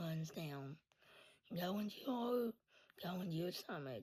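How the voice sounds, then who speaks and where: Somewhat breathy, a woman with a fairly low pitch speaks at a moderate pace, her voice swinging very widely in pitch. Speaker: content creator sharing life story. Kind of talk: storytime monologue. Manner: voice cuts in and out; casual, halting.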